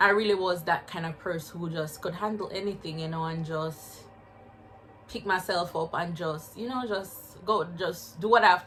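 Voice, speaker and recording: Speaking with a Jamaican accent, a woman talks at a moderate pace and a fairly low pitch, with fairly even intonation. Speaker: spiritual wellness vlogger. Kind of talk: personal vlog testimony. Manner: casual, halting.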